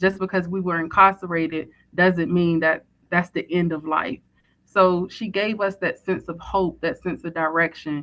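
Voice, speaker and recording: Speaking at a moderate pace with a slight Southern US accent, a woman keeps a fairly low pitch and fairly even intonation. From Virginia, US South. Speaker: formerly incarcerated woman, prison reform advocate. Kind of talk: short speech. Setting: call into live event.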